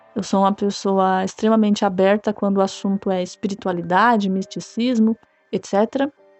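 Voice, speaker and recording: Music can be heard behind the speaker. Her voice sits at a medium pitch. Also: fairly even intonation, moderate pace. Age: 20s. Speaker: listener sharing a paranormal experience. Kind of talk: personal testimony. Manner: casual, somewhat halting with repetitions.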